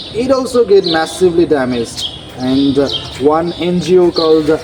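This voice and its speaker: There is music in the background as a man speaks. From Nepal. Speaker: architecture graduate. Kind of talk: interview answer.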